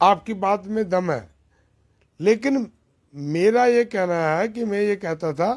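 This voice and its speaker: High-pitched male voice with ordinary pitch variation, on a very clean recording with a silent background. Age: 60s. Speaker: former party worker, local politician. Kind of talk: interview.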